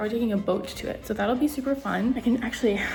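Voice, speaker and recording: A woman's voice comes with audible room echo and music in the background. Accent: Canadian. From Canada. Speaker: travel vlogger. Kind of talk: casual vlog narration. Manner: animated; whispering.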